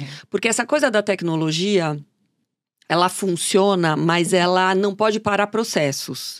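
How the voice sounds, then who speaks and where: An unremarkable speaking voice moves at a fairly slow pace with ordinary pitch variation on a very clean recording with a silent background. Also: woman. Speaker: fashion journalist and consultant. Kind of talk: interview.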